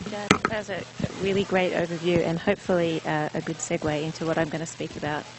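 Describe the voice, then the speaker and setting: Speaking at a very fast pace with fairly even intonation, a woman with a fairly low pitch is heard over noticeable background noise. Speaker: attorney, guest speaker on land rights. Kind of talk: lecture.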